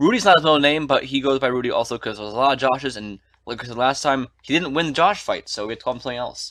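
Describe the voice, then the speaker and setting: At a very fast pace with hardly any pauses, a man speaks in a bright, sharp tone with ordinary pitch variation and big swings in loudness. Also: medium pitch for a man. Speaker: podcast co-host. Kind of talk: casual chat.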